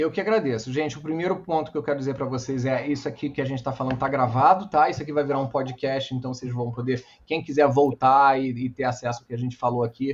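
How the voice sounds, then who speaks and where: Here a man talks at a very fast pace with hardly any pauses. His medium-pitched voice is somewhat breathy. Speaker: entrepreneur and speaker. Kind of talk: talk with Q&A. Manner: animated.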